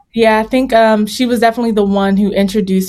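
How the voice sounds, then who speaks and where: A woman with an American accent speaks with fairly even intonation over noticeable background noise. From Virginia. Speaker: singer-songwriter and vocal coach. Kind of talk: interview.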